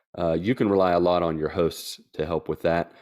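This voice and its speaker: A man with an Appalachian accent talks at a moderate pace in a very deep, low pitch with fairly even intonation over a quiet background. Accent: Appalachian American. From West Virginia, US. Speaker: missionary. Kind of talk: casual interview chat.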